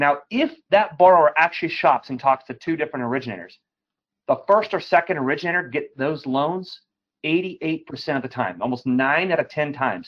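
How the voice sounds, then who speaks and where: A man with an ordinary speaking voice, fairly high in pitch with ordinary pitch variation, at a fairly quick pace. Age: 40s. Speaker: mortgage lending executive. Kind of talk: interview.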